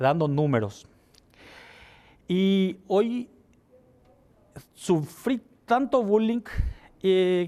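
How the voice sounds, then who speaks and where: The man speaking has a high pitch. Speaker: legislator. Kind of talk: TV interview.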